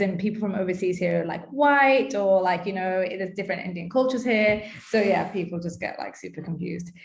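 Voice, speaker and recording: A woman of medium pitch talks at a fairly quick pace with audible room echo. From England, UK. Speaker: dentist. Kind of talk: casual interview chat.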